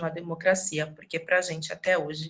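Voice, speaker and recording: A woman is speaking. Her tone is bright and sharp. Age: young. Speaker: lecturer on ethnic-racial relations. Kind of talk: lecture.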